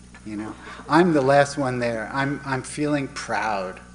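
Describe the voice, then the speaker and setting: There is noticeable background noise as a man speaks at a medium pitch with ordinary pitch variation. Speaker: meditation student. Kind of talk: personal tribute. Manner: halting.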